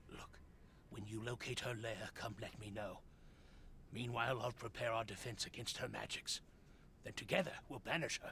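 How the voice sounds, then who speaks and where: In a put-on character voice, a raspy man speaks at a moderate pace and medium pitch with fairly even intonation, long, frequent pauses, and clear background noise. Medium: video game. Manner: hesitant, evasive.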